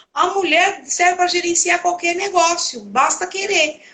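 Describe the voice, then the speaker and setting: Using a raised, projected voice, a woman speaks at a fairly slow pace in an extremely high pitch. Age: 60s. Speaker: home organizer, live host. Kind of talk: casual chat. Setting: live stream.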